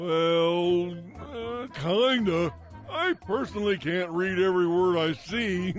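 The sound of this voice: The speaker uses a cartoonish character voice at a fairly slow pace. Clear music plays in the background. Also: man, high pitch for a man.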